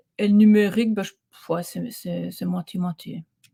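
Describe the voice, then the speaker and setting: The speaker is a woman. The sound is dry and close, with no echo. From Belgium, Ardennes. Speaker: coach. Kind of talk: casual interview chat. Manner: animated.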